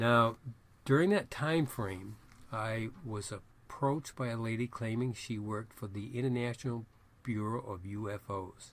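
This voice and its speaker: With a New England accent, a man speaks at a moderate pace and medium pitch, showing ordinary pitch variation. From Maine, US. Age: 70s. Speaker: astrologer and psychic reader. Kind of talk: self-promotional monologue.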